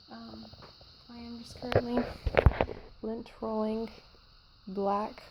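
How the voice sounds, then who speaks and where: Noticeable noise fills the background as a woman speaks softly. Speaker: vlogger. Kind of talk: casual vlog. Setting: outdoors. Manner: soft-spoken.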